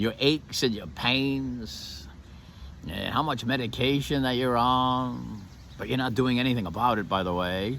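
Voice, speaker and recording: A man talks at a medium pitch with ordinary variation and a moderate pace. Room echo is audible. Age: 60s. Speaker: martial arts teacher and motivational speaker. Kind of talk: motivational monologue. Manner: animated.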